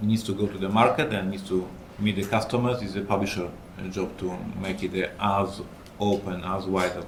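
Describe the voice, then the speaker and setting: There is audible room echo as a man with a fairly low pitch talks at a moderate pace in a monotone, flat intonation. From Poland. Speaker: game designer and publisher. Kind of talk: panel discussion.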